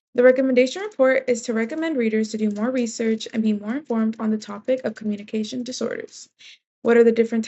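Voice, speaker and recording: Talking very fast, a woman uses a high pitch and an American accent. Her intonation is fairly even. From Texas, Corpus Christi. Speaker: university student. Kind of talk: class presentation. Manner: some hesitations and repetitions.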